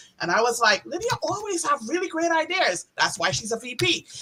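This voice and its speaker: A woman with a Trinidadian accent speaks in a raised, projected voice. Her tone is animated and her pace fairly quick. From Trinidad and Tobago. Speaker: sales account manager. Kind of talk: virtual event welcome speech.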